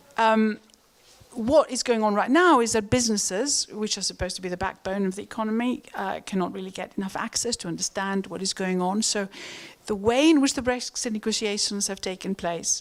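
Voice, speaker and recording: A woman of medium pitch with a Greek accent, a fairly quick pace and ordinary pitch variation, in a very clean recording with a silent background. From Greece. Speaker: economist. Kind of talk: panel discussion. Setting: stage with audience. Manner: halting.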